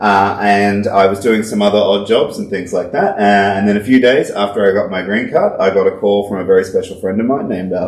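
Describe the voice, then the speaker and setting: Delivered at a fairly quick pace, the speech carries an Australian accent. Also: man. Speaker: whiskey podcast co-host, distillery worker. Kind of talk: casual chat.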